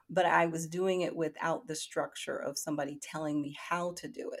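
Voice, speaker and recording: A woman's fairly low-pitched, an unremarkable speaking voice at a fairly quick pace, in a very clean recording with a silent background. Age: 50s. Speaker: tarot reader and oracle deck creator. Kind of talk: casual interview.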